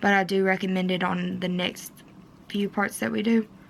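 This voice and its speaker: In a Kentucky accent, a woman talks at a moderate pace with a medium pitch and fairly even intonation. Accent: Kentucky twang. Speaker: DIY wedding vlogger. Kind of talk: tutorial. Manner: casual, with fillers.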